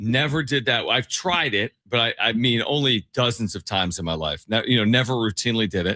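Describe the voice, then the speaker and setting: A man talks at a fairly quick pace with hardly any pauses and lively intonation. It is an unremarkable speaking voice at a medium pitch. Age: 40s. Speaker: sports radio host and play-by-play announcer. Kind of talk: casual chat.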